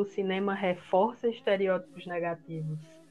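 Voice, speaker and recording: A woman with fairly even intonation and a normal speaking voice. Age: 20s. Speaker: podcast co-host, design student. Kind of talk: casual chat.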